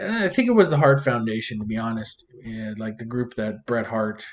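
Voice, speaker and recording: With ordinary pitch variation and a moderate pace, the talking comes in a plain, everyday voice. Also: man. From Canada. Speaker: reaction video creator. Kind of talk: casual commentary.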